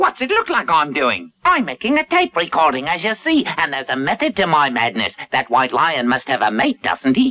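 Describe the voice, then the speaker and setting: A cartoonish character voice at middle pitch and a moderate pace, with hardly any pauses. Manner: sly, gloating.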